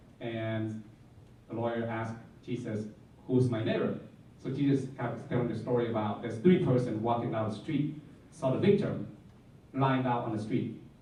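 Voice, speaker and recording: In a room with audible echo, a man with a Vietnamese accent speaks at a medium pitch and moderate pace, with ordinary pitch variation and long, frequent pauses. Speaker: Jesuit campus minister. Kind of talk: panel talk, personal reflection. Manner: halting.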